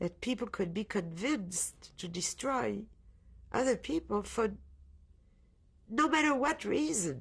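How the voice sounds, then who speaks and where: Using vocal fry, a woman at a medium pitch takes long, frequent pauses while her pitch swings very widely. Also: fairly slow pace. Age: 60s. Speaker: Holocaust survivor. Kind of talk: testimony. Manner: halting.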